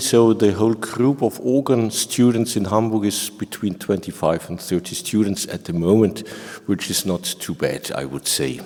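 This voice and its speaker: A man with a German accent speaks at a fairly low pitch with lively intonation, over noticeable background noise. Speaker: organ professor. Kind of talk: panel discussion.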